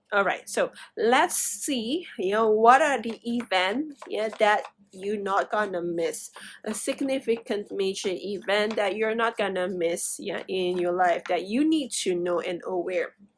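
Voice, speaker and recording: A woman speaks with fairly high pitch and lively intonation. Her pace is fairly slow. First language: not English. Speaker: tarot reader. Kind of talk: tarot reading. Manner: halting, many fillers.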